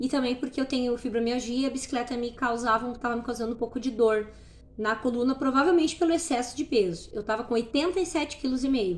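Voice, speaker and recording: This woman talks at a very fast pace in a high-pitched voice. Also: ordinary pitch variation. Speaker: natural products store owner sharing weight-loss journey. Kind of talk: casual vlog monologue. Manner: barely pausing for breath.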